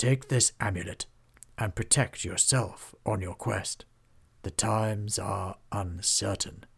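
Putting on a raspy character voice, a man speaks at a fairly low pitch. His pace is fairly slow. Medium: read story. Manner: warm, authoritative.

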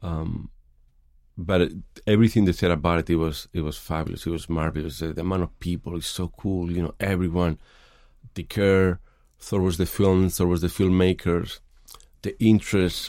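With a Spanish accent, a man speaks at a moderate pace in a very deep, low pitch and a dark, mellow tone, his fairly even intonation broken by long, frequent pauses on a very clean recording with a silent background. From Spain, Madrid. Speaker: filmmaker. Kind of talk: interview. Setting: studio. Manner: halting.

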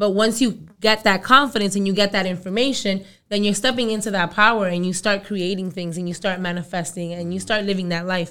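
Speaking fairly quickly with a New York accent, a woman uses a medium-pitched, bright, sharp voice with fairly even intonation. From Brooklyn, New York. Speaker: college and career counselor, podcast co-host. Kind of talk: casual chat.

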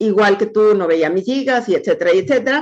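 This woman's fairly high voice shows ordinary pitch variation at a moderate pace. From Veracruz, Mexico. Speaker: insurance agent. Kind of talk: interview.

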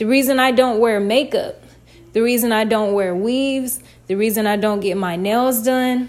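A plain, everyday voice from a woman, fairly high in pitch, with ordinary pitch variation. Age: 20s. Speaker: podcaster. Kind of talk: personal monologue.

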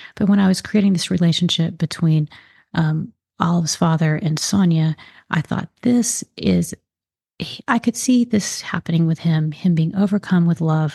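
Speaking at a fairly slow pace, a woman has a fairly low pitch and a dark, mellow tone that is somewhat breathy. The recording is dry and close, with no echo. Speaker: mystery author and podcast host. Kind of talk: casual book chat, intro and outro. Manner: conversational, friendly, relaxed with some fillers.

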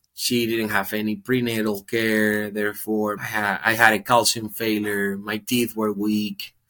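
Speaking at a fairly slow pace with a Spanish accent, a man has a fairly low pitch, a bright, sharp tone and monotone, flat intonation. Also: hardly any pauses. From Dominican Republic. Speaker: ministry worker. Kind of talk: testimony.

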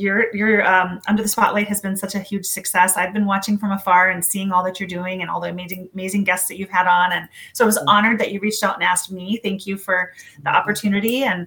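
A very fast, monotone, flat delivery in an American accent, with noticeable background noise. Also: woman, medium pitch for a woman. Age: 40s. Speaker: nonprofit executive and former pageant winner. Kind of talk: interview conversation.

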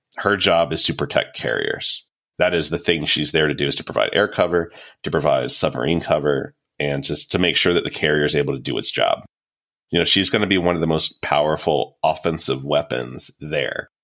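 This man's pitch is very deep and low, with a bright, sharp tone. Vocal fry runs through his voice. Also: ordinary pitch variation, fairly quick pace. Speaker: podcast host. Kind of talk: casual chat.

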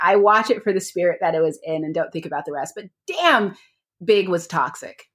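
Speaking fairly quickly, a woman uses a normal speaking voice at medium pitch with lively intonation. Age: 50s. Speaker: dog blogger and podcast co-host. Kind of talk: casual chat. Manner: laughing often.

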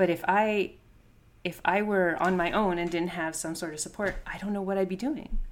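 A woman talks at a moderate pace in a plain, everyday voice. Her pitch is medium, with ordinary variation. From Canada, small town, Italian immigrant parents. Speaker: pianist and chamber music coach. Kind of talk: interview. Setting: video call.

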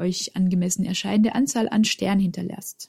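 Somewhat breathy and dark, mellow in tone, a woman speaks at a moderate pace and medium pitch with fairly even intonation. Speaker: science podcast co-host. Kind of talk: casual educational chat. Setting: remote recording over internet.

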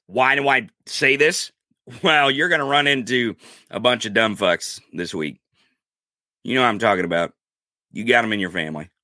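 On a very clean recording with a silent background and a dry, close sound with no echo, a man with a bright, sharp tone, medium pitch and vocal fry swings his pitch very widely, speaking at a moderate pace with long, frequent pauses. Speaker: political commentary podcast host. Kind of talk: heated political rant. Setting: studio, livestreamed. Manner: loud, angry, profane.

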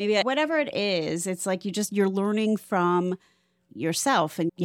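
A woman with an American accent and a plain, everyday voice, medium pitch, moderate pace, dry, close sound with no echo, and a very clean recording with a silent background. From Ohio, Cleveland. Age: 50s. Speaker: podcast host, realtor. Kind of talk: casual chat.

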